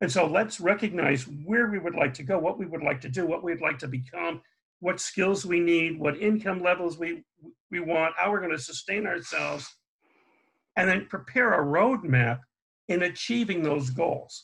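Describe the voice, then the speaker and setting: Here a man talks with a high pitch. His pace is moderate and his pitch variation ordinary. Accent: American. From US Northeast, Connecticut. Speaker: family therapist and parental alienation expert. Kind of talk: interview. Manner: halting, many fillers.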